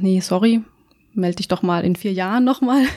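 Speaking at a fairly quick pace, a woman with a medium pitch and a dark, mellow tone comes through on a very clean recording with a silent background. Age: 30s. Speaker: amateur powerlifter. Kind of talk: casual chat.

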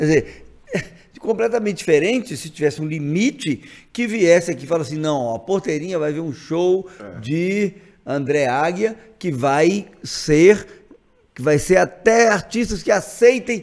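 At a moderate pace, a man with a high pitch speaks using lively intonation. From Brazil, Montes Claros, Minas Gerais. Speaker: state legislator and physician. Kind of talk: casual interview.

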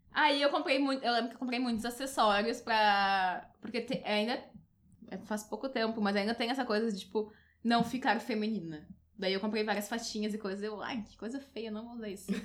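In a very clean recording with a silent background, a woman with a normal speaking voice talks at a moderate pace, fairly high in pitch, with fairly even intonation and big swings in loudness. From Porto Alegre, southern Brazil. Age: 20s. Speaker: columnist and beauty blogger. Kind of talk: casual chat.

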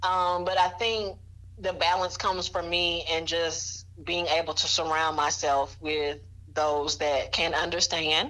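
A woman with an Alabama accent speaks at a fairly slow pace in a bright, sharp tone. Her pitch is fairly low and her intonation fairly even. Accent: Southern US (Alabama). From US South, Mobile, Alabama. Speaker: writing and tutoring business owner. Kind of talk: interview.

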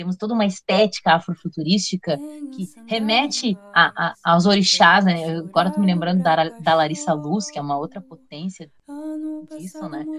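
A woman speaks at a moderate pace in an unremarkable speaking voice, her pitch fairly low. Her loudness swings widely while her pitch varies in an ordinary way. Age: 40s. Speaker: history teacher and researcher. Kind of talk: casual chat.

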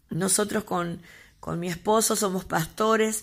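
A woman speaks in a monotone with flat intonation. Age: 40s. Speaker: pastor. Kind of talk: testimony.

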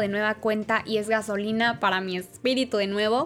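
The speaker keeps a moderate pace in a flat, monotone delivery. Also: woman. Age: 20s. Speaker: podcast host. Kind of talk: faith talk monologue.

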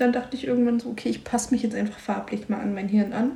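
This woman's voice sits at a high pitch. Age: 20s. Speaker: podcast co-host. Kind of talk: casual chat.

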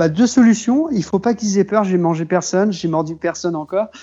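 With music in the background, a man speaks at a high pitch with lively intonation. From western France, Maine-et-Loire near Cholet. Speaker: accordionist. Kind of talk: casual interview.

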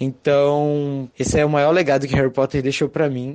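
Here is a man with an unremarkable speaking voice. He talks at a moderate pace and a medium pitch. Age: 20s. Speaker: listener contributor. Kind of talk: recorded testimony.

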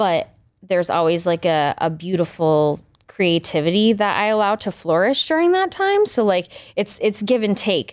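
With an American accent and an ordinary speaking voice, a woman talks at a moderate pace in a medium pitch, with ordinary pitch variation and very even loudness, on a very clean recording with a silent background. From rural Maine, US. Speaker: R&B pop singer-songwriter. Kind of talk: casual interview chat. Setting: studio.

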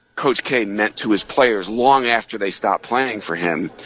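With music in the background, a man speaks at a moderate pace and fairly low pitch with ordinary pitch variation. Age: 50s. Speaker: sportswriter and author. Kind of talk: radio interview about his book.

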